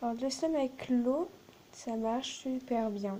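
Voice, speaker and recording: A soft-spoken woman at high pitch with ordinary pitch variation over noticeable background noise. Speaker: slime video maker. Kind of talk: tutorial.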